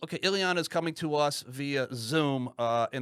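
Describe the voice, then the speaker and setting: Ordinary pitch variation on a very clean recording with a silent background. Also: man. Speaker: podcast co-host. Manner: fast; halting, many fillers and repeats.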